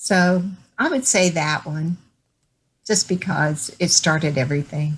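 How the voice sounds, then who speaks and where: In a Texan accent, a woman speaks at a fairly slow pace, somewhat breathy. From Texas, Dallas. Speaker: author. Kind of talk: interview.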